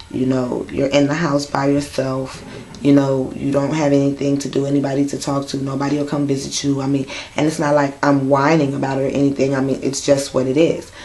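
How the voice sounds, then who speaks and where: A woman with a very deep, low pitch speaks amid audible room echo and noticeable background noise. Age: 30s. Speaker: vlogger with sickle cell disease. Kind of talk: personal vlog monologue. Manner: casual with frequent fillers.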